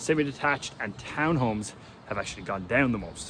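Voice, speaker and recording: A man with an Irish accent, very wide pitch swings and a fairly quick pace. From Ireland. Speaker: real estate agent. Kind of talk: casual market update vlog. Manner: casual.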